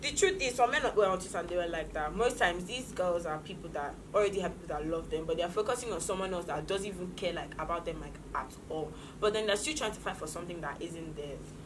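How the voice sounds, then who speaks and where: Talking at a very fast pace, a woman uses a fairly low pitch against noticeable background noise. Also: ordinary pitch variation. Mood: opinionated, animated. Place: studio.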